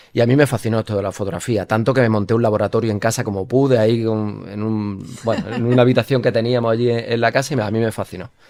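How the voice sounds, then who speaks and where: The words come at a very fast pace. Intonation stays fairly even. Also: man, medium pitch for a man. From Spain, Jaén (Andalusia). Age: 30s. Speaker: photojournalist. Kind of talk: interview.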